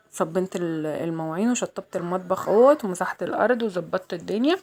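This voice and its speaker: The speaker has an Egyptian accent and ordinary pitch variation. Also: woman. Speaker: vlogger. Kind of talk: casual vlog chat. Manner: chatty, repetitive.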